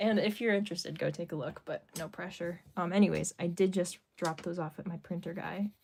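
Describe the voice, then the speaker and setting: A woman with vocal fry talks at a moderate pace in a fairly low pitch. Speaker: artist. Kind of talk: live stream chat while drawing. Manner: casual, many fillers (um, like).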